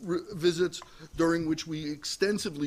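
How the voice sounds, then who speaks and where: A man with an American accent talks at a moderate pace in an unremarkable speaking voice. His intonation stays fairly even. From New York. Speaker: prison oversight advocate. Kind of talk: panel presentation.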